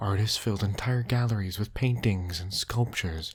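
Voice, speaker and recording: In a very clean recording with a silent background, a soft-spoken man talks at a moderate pace in a fairly low, somewhat breathy voice with a soothing tone and fairly even intonation. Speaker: storyteller. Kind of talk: bedtime story narration. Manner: soft-spoken, soothing.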